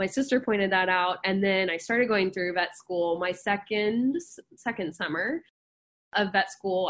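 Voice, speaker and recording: A woman speaks at a moderate pace, her medium pitch rising and falling in an ordinary way. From Texas, Dallas. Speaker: veterinary dermatology resident. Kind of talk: interview. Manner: natural, fluent.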